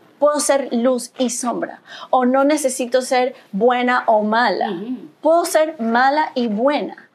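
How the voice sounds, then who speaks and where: A high-pitched woman speaking very slowly, with ordinary pitch variation and noticeable background noise. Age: 40s. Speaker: spiritual mentor and yoga teacher. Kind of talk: casual interview chat.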